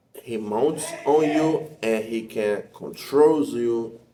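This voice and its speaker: With a Portuguese accent, a man speaks at a medium pitch in a dark, mellow tone with ordinary pitch variation and audible room echo. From Brazil. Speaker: spiritual practitioner and teacher. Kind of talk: explanatory talk to camera. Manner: halting.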